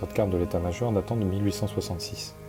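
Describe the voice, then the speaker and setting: Music plays in the background as a man talks at a very fast pace. His pitch is fairly low. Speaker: urbex video narrator. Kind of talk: scripted narration. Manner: hesitant.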